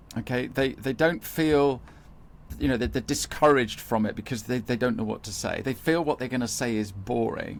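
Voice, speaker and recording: Over a very clean recording with a silent background, a man with a southern English accent talks at a fairly quick pace, medium in pitch with ordinary pitch variation and some vocal fry. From UK. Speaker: marketing expert for accountants. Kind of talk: interview podcast. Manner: repetitive false starts.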